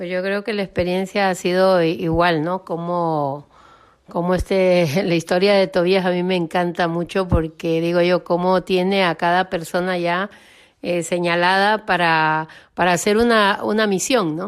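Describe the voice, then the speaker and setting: A woman talks at a fairly slow pace in a plain, everyday voice. Her pitch is fairly low, her intonation fairly even, and the background quiet. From Honduras. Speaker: lay missionary. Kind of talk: testimony.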